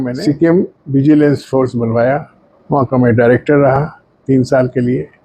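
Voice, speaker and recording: A man's fairly high voice with a dark, mellow tone and fairly even intonation. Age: 80s+. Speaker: retired police investigator. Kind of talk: interview reminiscence.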